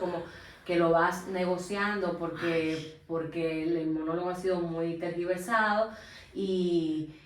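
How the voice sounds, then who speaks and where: A woman's fairly low, monotone, flat voice at a fairly slow pace, over noticeable background noise. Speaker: interviewer, channel host. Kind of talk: interview questions. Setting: theatre dressing room.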